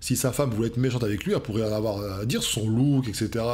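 A somewhat breathy voice at a moderate pace, with ordinary pitch variation. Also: man. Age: 40s. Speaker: fitness coach youtuber; fitness coach. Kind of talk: video reaction commentary. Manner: hesitant with many fillers. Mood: relaxed, lightly teasing. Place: home room.

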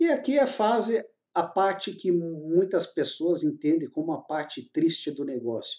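Against a quiet background, a man with a high pitch and a dark, mellow tone speaks at a fairly slow pace with very wide pitch swings. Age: 50s. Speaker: court-appointed expert witness and course instructor; course creator presenting his course. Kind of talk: sales pitch. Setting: screen recording. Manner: informal, repeated tag questions.

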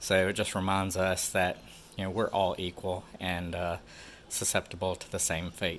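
Against light background noise, a man talks at a moderate pace in a very deep, low pitch with monotone, flat intonation. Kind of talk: casual vlog chat. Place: garage. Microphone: phone near.

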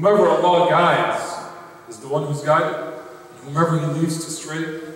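Strong room echo carries a man's voice as he speaks at a fairly quick pace. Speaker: preacher. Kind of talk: sermon.

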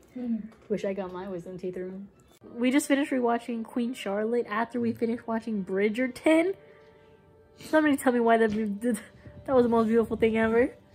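A woman talks at a fairly quick pace with ordinary pitch variation while faint music plays in the background. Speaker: vlogger caring for a friend. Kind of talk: casual vlog chat.

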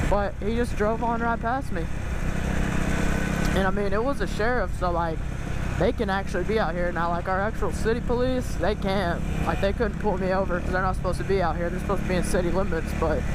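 A very fast pace, a dry sound with no echo and loud background noise. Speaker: rider vlogger. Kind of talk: casual vlog chat. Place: motorbike. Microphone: helmet.

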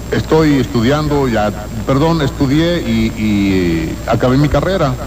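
Noticeable background noise sits behind a man speaking at medium pitch. His pitch swings very widely. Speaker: radio host. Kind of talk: radio horror show, reading a listener letter aloud. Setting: radio broadcast. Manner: dramatic, spooky, suspense-building delivery; halting, hesitant reading with stumbles and restarts.

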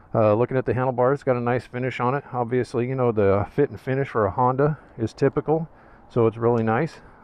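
A man speaks at a very fast pace with fairly even intonation, in a dry sound with no echo. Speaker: rider reviewing scooter. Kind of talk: casual vlog chat. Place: street. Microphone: helmet.

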